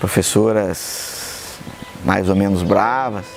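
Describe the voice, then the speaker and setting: Music plays behind the speech, which moves at a very slow pace. Pitch varies in an ordinary way. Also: man. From São Paulo state, Brazil. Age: 60s. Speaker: engineer and consultant. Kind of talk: interview.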